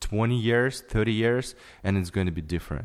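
In a very clean recording with a silent background, a man speaks with a Ukrainian accent. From Ukraine. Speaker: photographer. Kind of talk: casual chat. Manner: halting.

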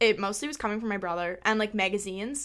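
In a very clean recording with a silent background, a woman at medium pitch speaks at a very fast pace. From Canada. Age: 20s. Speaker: podcast host. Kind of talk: casual chat.

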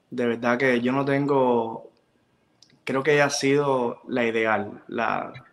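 Here a man with a medium pitch speaks at a very slow pace in monotone, flat intonation. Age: 20s. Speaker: makeup artist and pageant organizer. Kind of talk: interview.

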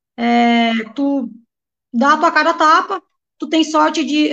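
This woman's voice sits at a high pitch. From Rio Grande do Sul, Brazil (Santa Rosa). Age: 30s. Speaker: futsal player. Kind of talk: interview.

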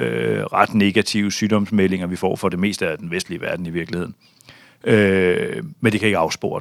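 A man is speaking. His pace is moderate. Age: 40s. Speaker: bank chief strategist. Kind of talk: interview. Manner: hesitant, many fillers.

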